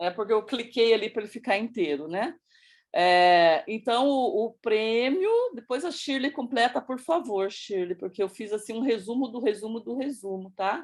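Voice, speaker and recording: A woman with a normal speaking voice talks at a moderate pace, her fairly high pitch carrying lively intonation. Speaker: project presenter in education working group. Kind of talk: presentation. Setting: video call with screen sharing.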